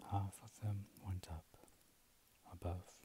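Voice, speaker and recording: Soft-spoken and somewhat breathy, a man talks in a very deep, low voice with monotone, flat intonation, the sound dry with no echo but with noticeable background noise. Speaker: reader of scripture. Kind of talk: scripture reading. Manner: soft, slow ASMR bedtime reading. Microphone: earbuds.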